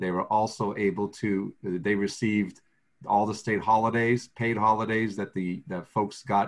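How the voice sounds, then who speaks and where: With an American accent, a man talks at a fairly slow pace. His fairly low voice is an unremarkable speaking voice. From southeastern Massachusetts. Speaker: state agency official for the blind. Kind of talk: video conference discussion. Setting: video call.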